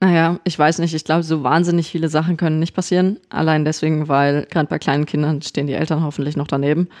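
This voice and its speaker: Against a quiet background, a woman with a very deep, low pitch speaks at a very fast pace in a monotone, flat way, her loudness very even. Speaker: theme park podcast co-host. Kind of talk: casual chat. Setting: studio.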